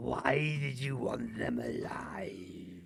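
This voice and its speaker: A man puts on a raspy character voice with a very deep, low pitch. His pitch swings very widely. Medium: actual play. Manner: formal, calm.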